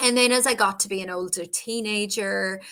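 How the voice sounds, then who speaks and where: A woman with an Irish accent speaks in a bright, sharp tone. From Ireland, Cork. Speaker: broadcaster and author. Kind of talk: interview.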